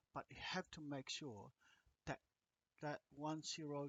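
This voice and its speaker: A man with a strong non-native accent. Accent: thick non-native. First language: not English. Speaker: agriculture lecturer. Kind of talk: lecture. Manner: halting, many fillers.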